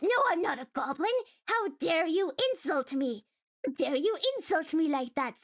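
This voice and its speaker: This woman's voice is a put-on character voice. It reaches an extremely high pitch. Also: moderate pace. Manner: indignant, silly.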